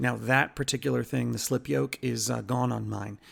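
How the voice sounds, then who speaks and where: A man speaks on a very clean recording with nothing audible in the silent background. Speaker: car repair YouTuber. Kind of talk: DIY tutorial. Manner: casual, hesitant with fillers.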